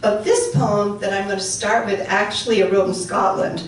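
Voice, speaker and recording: A woman with an upstate New York accent speaks at a moderate pace and a medium pitch. Noticeable background noise and audible room echo are present. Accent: American, upstate New York. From central New York (Utica), Welsh immigrant community. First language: Welsh. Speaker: poet. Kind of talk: poetry reading with talk. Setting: luncheon in a dining room, live audience. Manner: halting, many fillers.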